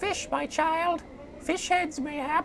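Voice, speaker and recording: A put-on character voice, high in pitch, over clear background noise. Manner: put-on archaic crone voice.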